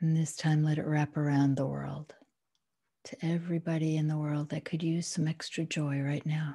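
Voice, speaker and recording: Against a quiet background, a woman speaks in a very deep, low pitch with a dark, mellow, gentle and soothing tone, somewhat breathy and monotone, with flat intonation. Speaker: meditation guide. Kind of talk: guided meditation. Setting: home, at home with a dog in the room. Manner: slow, soothing, calm and unhurried; gentle, instructional. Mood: calm, soothing, warm. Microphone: video call.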